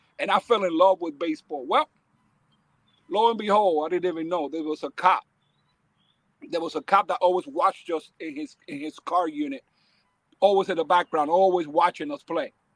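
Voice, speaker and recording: A high-pitched man talks at a moderate pace with ordinary pitch variation and long, frequent pauses. His loudness swings widely in a dry, close sound with no echo. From New York City, the Bronx. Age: 60s. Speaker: baseball academy owner. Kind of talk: casual interview storytelling. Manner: animated.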